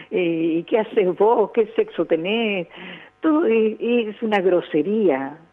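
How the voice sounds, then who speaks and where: A woman at a very slow pace, her intonation lively. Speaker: veteran radio broadcaster and teacher. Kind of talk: interview.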